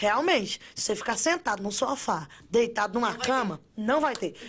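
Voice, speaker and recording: A woman speaks in an animated tone with ordinary pitch variation. Noticeable background noise runs underneath. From Brazil. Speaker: construction worker and social media influencer. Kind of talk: casual interview.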